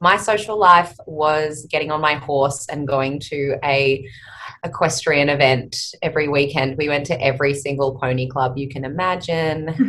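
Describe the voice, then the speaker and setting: A bright, sharp tone at a moderate pace. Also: woman. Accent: Australian. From Australia, outback Queensland. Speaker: speech therapist and company founder. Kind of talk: podcast interview. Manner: hesitant, many fillers.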